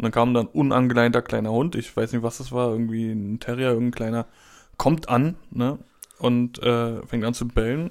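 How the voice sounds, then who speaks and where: An ordinary speaking voice from a man at medium pitch, moderate pace and fairly even intonation, on a very clean recording with a silent background. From Berlin. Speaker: podcast co-host. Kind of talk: casual chat. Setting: home recording studio.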